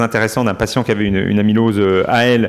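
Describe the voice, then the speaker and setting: The man's intonation stays fairly even throughout. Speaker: medical professor presenting research. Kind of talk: conference Q&A discussion. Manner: fast; hesitant, many fillers.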